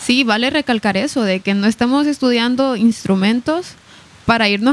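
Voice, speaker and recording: Against noticeable background noise, a woman talks with fairly high pitch and ordinary pitch variation. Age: 20s (22). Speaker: student pilot. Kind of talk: casual interview.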